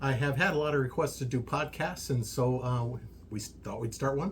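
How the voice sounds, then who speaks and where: The voice has an American accent and a fairly quick pace. Noticeable background noise runs underneath. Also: man. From US, army brat raised partly in Germany. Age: 60s. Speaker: social media creator, workshop owner. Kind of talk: casual podcast interview. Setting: workshop. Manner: hesitant, many fillers.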